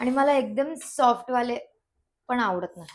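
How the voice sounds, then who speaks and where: A woman speaks with a high-pitched voice. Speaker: cooking vlogger. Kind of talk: cooking tutorial vlog. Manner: casual, Marathi-English code-mixing.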